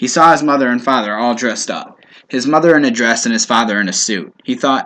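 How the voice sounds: A natural reading voice carries the whole clip.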